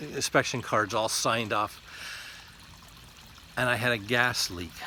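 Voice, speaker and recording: There's noticeable noise in the background. Through it, a man talks. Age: 60s. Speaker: lay preacher giving devotionals. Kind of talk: devotional talk. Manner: halting, with repeated words and fillers.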